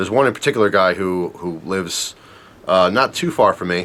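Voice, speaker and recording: Over noticeable background noise, a man with a New Jersey accent speaks at a fairly quick pace and a fairly low pitch, with ordinary pitch variation. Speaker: knife and gear reviewer. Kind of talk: product unboxing review. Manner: casual, conversational with fillers.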